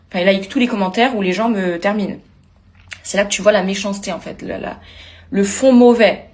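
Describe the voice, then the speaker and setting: A woman with a medium-pitched, animated voice talks at a fairly quick pace, broken by long, frequent pauses, her loudness swinging widely over noticeable background noise. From Corsica. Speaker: reality TV contestant. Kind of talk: video blog rant.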